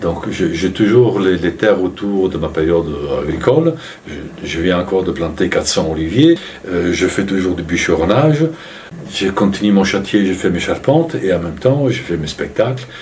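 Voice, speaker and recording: Noticeable background noise runs under a man's voice. He speaks at a moderate pace with lively intonation. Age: 60s. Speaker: storyteller and actor, farmer. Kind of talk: interview answer.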